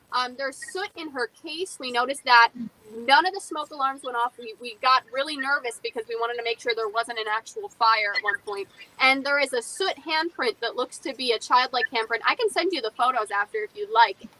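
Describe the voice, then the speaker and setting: Raised and projected, a woman's high voice moves along at a fairly quick pace. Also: dry, close sound with no echo. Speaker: paranormal investigator and museum curator. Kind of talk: interview. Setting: live stream. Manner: fast.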